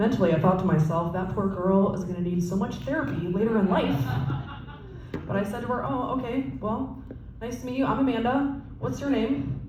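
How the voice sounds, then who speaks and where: At a fairly quick pace and medium pitch, a woman's voice makes very wide pitch swings amid noticeable background noise and audible room echo. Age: 30s. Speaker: stand-up comedian. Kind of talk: stand-up. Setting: stage with audience.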